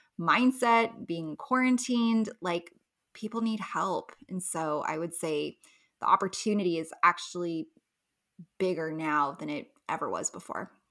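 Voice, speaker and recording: A woman with an American accent and a normal speaking voice, medium in pitch, fairly slow in pace, lively in intonation, on a very clean recording against a silent background. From US West Coast, Los Angeles. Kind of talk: interview.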